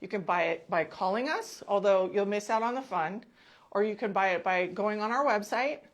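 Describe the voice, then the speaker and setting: A woman's ordinary speaking voice, medium in pitch with ordinary pitch variation, at a moderate pace against a quiet background. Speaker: clinic marketing host. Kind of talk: promotional video. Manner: casual, chatty.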